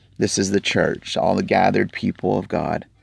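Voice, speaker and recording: A dry, close sound with no echo at a fairly slow pace. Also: man. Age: 40s. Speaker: podcast bible teacher. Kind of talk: bible teaching. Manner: halting.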